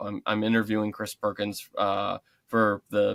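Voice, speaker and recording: Dry and close with no echo, this very clean recording with a silent background captures a man at fairly low pitch speaking in a monotone, flat intonation. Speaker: tabletop RPG journalist and YouTuber. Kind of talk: interview conversation. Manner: halting, many fillers.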